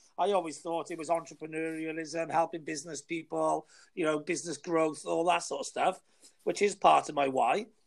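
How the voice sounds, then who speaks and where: This man speaks in a Welsh accent. His intonation is monotone and flat. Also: fairly high pitch for a man, fairly quick pace. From Wales. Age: 40s. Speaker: new podcaster and marketer. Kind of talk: casual chat. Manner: confident, self-promoting.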